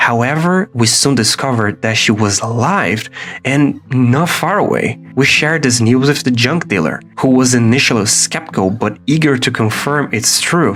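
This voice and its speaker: Over music in the background, a man at medium pitch speaks with lively intonation at a moderate pace, his loudness very even and his pauses hardly any. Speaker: illustrator and designer. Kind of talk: video essay narration.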